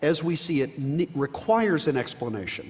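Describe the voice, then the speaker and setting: Here a man talks at a fairly quick pace with an American accent. His pitch is fairly high. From New Jersey. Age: 60s. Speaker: biology professor. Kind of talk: panel discussion. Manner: halting, many fillers.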